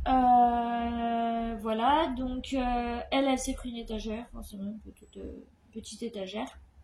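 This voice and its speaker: A woman's fairly high, monotone, flat voice at a fairly slow pace, with big swings in loudness over noticeable background noise. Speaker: vlogger. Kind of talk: casual vlog talk. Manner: halting.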